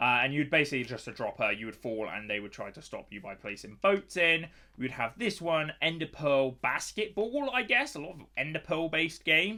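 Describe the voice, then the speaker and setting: A man talks at a fairly quick pace and a fairly high pitch, with very wide pitch swings and big swings in loudness. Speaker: gaming youtuber. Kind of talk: gameplay commentary. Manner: casual and hesitant.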